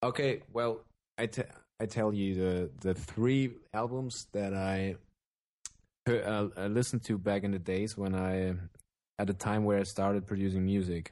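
A man speaks with a German accent at a fairly low pitch. His intonation stays fairly even over a quiet background. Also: moderate pace, very even loudness. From Germany. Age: 20s. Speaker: electronic music producer and vocalist. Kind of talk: casual interview. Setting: remote call, evening.

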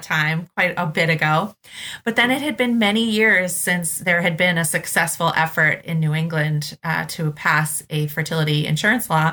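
A woman with an American accent speaks at a moderate pace in a fairly low voice, her tone bright and sharp, her pitch varying in an ordinary way, on a very clean recording with a silent background. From Boston, Massachusetts. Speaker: nonprofit executive director. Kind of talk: podcast interview.

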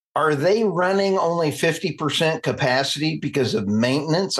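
With an American accent and a normal speaking voice, a man talks at a fairly slow pace with ordinary pitch variation. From United States. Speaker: podcast host. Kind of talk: casual interview.

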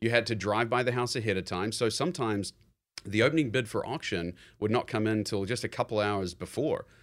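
A man with a New Zealand accent talks at a fairly quick pace on a very clean recording with a silent background. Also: medium pitch for a man, ordinary pitch variation. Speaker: real estate investor. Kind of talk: interview.

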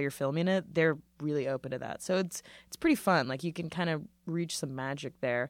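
Very deep, low pitch from a woman, captured in a very clean recording against a silent background. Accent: American. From Orange County, California. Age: 20s. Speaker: comedian and DJ. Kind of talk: casual chat. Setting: studio.

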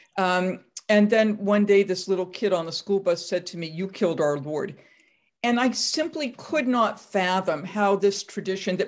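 Speaking at a moderate pace with an American accent, a woman has an unremarkable speaking voice at medium pitch with ordinary pitch variation. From US Northeast (Massachusetts). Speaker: professor. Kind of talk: interview.

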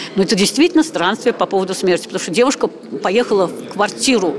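Noticeable background noise accompanies a woman whose pitch is medium. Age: 70s. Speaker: writer and amateur singer. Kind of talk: interview.

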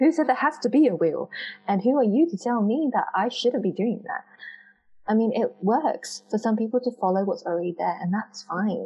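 Lively intonation at a moderate pace. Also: woman, fairly high pitch for a woman. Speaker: visibility coach and entrepreneur. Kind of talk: casual interview. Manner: soft-spoken.

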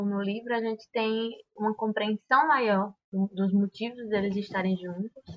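A woman with a strong Cariri accent talks at a medium pitch with fairly even intonation, the sound dry and close with no echo. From Cariri, Ceará, Brazil. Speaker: podcast guest, film fan. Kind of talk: casual chat.

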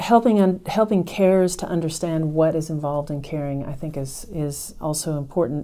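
A woman's very deep, low voice with a dark, mellow tone, an American accent, ordinary pitch variation and a moderate pace. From United States. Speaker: nurse practitioner and nursing professor. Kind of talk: interview on clinical care.

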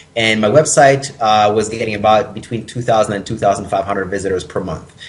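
A man speaks at fairly low pitch and a moderate pace. Noticeable background noise sits behind him. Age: 20s. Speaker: personal training business owner and author. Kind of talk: interview.

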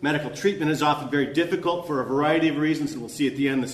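Over noticeable background noise and audible room echo, a man with an American accent talks at a very fast pace, with fairly high pitch and fairly even intonation. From Alaska. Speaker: historian. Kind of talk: conference lecture. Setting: conference workshop with audience. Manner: halting, many fillers and repeats; hurried.

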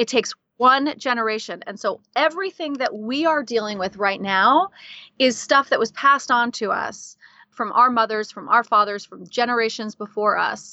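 A woman with a fairly high pitch speaks at a moderate pace in a plain, everyday voice, her intonation lively and her loudness swinging widely. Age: 40s. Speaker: life coach and podcast host. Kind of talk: interview conversation.

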